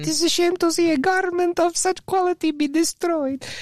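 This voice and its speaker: At a moderate pace, a put-on character voice talks at an extremely high pitch. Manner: refined, posh, affected.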